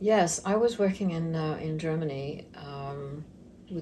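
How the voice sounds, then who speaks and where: A somewhat breathy woman at a moderate pace, with ordinary pitch variation and audible room echo. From Mozambique. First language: Portuguese. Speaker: retirement center business owner. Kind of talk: interview.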